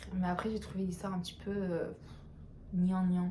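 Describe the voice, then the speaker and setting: Against noticeable background noise, a woman of medium pitch speaks at a moderate pace. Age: 20s. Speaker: book reviewer. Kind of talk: casual talk to camera. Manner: casual, chatty.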